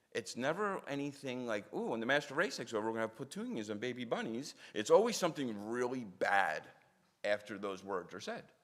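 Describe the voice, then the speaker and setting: Speaking with a Philadelphia accent, a man uses a medium pitch and a fairly quick pace. His tone is animated and his intonation lively. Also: big swings in loudness. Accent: Philadelphia American English. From South Philadelphia, US. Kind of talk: public talk with storytelling. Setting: synagogue audience.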